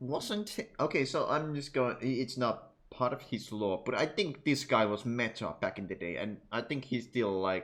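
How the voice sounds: A man is speaking at a medium pitch. His tone is fairly bright.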